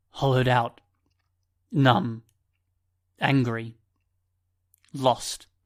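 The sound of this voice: Using a put-on character voice that sounds strained, a man at medium pitch speaks at a very slow pace with long, frequent pauses.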